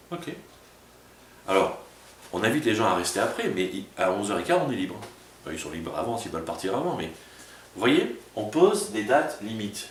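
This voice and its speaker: A man at medium pitch with very wide pitch swings, a fairly quick pace and a slight southern French accent, with noticeable background noise and audible room echo. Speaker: pastor. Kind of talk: sermon. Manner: casual, conversational; fast.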